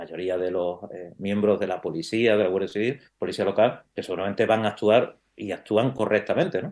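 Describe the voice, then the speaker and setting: Delivered at a fairly quick pace with ordinary pitch variation, the voice carries an Andalusian accent. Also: man, fairly low pitch for a man. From Andalusia, Spain. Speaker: criminal lawyer and university professor. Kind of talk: interview conversation. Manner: hesitant, many fillers.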